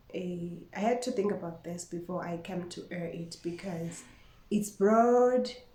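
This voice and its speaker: A woman speaks at a fairly slow pace with fairly low pitch and ordinary pitch variation. Audible room echo surrounds her voice. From Eswatini (Swati-speaking). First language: Siswati. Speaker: vlogger. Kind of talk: casual vlog monologue. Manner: code-switching with Siswati.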